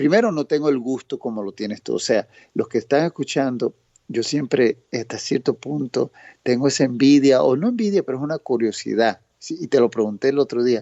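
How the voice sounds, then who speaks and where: A man with a medium voice talks fairly quickly, his pitch varying in an ordinary way. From Boston, Massachusetts. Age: 50s. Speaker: newspaper executive. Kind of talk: podcast interview. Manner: halting.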